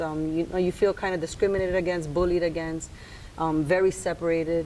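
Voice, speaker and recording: A woman's monotone voice with flat intonation. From New York, then Puerto Rico from age 13. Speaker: interview guest. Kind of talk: interview. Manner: hesitant, with fillers.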